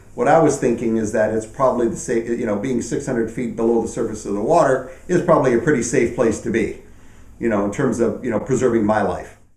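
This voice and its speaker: A man talks very fast at a medium pitch with ordinary pitch variation. His voice is somewhat breathy, with audible room echo. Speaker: Navy veteran. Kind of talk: oral history interview.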